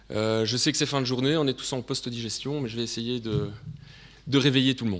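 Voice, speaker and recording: Speaking at a fairly quick pace, this voice comes with a Belgian accent. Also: man, medium pitch for a man, fairly even intonation. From Belgium. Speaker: sales director presenting at a conference. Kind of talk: conference presentation.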